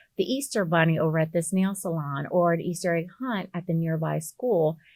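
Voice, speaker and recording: A woman with an American accent and a normal speaking voice talks at a moderate pace with a fairly low pitch. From US South (Alabama/Mississippi). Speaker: real estate broker. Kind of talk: interview.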